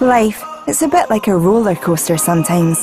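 A woman at a moderate pace with very wide pitch swings, music playing in the background. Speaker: voice actor. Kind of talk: TV commercial read.

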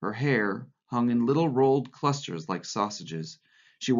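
An unforced reading voice against quiet surroundings.

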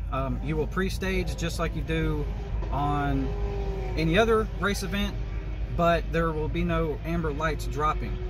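Noticeable background noise sits under a man's monotone, flat delivery at a moderate pace. The sound is dry, with no echo. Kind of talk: casual vlog chat. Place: car. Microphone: phone near.

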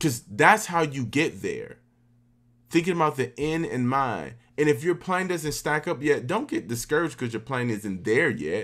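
This man has an American accent and a fairly high pitch, with vocal fry and lively intonation. He talks at a moderate pace over a quiet background. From US South. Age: 30s. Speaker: orchestral oboist; guest. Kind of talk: workshop talk. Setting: video call. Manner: casual. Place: home room.

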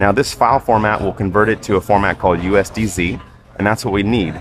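Very fast speech comes from a man with a fairly low pitch. Faint music plays behind him, and the sound is dry with no echo. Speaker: animator demonstrating workflow. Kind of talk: tutorial. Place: cafe. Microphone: headset.

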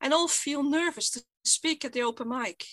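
Against a quiet background, a woman speaks at a fairly slow pace in a raised, projected voice with a bright, sharp tone. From Netherlands. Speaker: stuttering activist. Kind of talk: conference keynote speech. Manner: stuttering. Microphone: headset.

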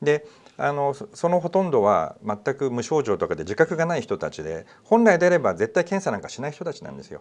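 At a fairly quick pace, a man talks with big swings in loudness. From Japan. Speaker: news talk show host. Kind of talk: casual discussion. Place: studio. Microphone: lapel.

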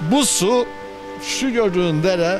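The voice sounds dry with no echo, and clear music plays in the background. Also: man. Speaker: environmental activist. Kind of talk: interview answer. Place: waterside. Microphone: handheld.

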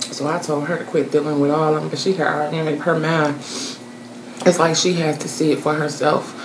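Over noticeable background noise, a woman talks fairly quickly in a very deep, low pitch with flat, monotone intonation. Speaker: food vlogger. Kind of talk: casual vlog chat. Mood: gossipy, indignant storytelling. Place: home room. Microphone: phone near.

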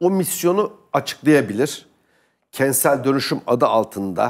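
Against a quiet background, a man speaks fairly slowly in an animated tone. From Turkey. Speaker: political commentator. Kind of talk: heated debate. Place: studio. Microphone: lapel.

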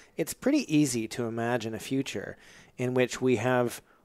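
Here a man talks at a moderate pace. His intonation stays fairly even. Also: quiet background. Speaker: podcast host. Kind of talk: interview conversation. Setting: in guest's home. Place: kitchen.

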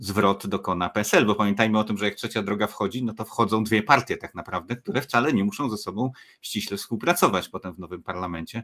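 At a fairly quick pace, a man uses a normal speaking voice at a fairly low pitch with ordinary pitch variation. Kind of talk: panel discussion. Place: home room.

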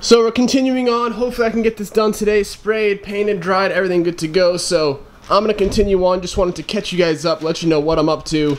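Racing at a very fast pace, a man talks in a high pitch with ordinary pitch variation. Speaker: car hobbyist vlogger. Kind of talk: casual vlog chat. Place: garage. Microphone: phone near.

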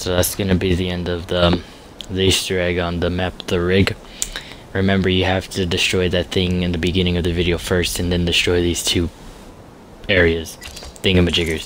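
Over noticeable background noise, a man with a very deep, low pitch speaks at a fairly quick pace in a monotone, flat way, with long, frequent pauses. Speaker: video game player. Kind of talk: casual gameplay tutorial narration. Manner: casual, hesitant with fillers.

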